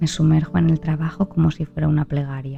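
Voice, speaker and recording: Soft-spoken and very deep in pitch, a woman talks at a fairly slow pace with ordinary pitch variation over music in the background. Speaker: narrator. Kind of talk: sleep story.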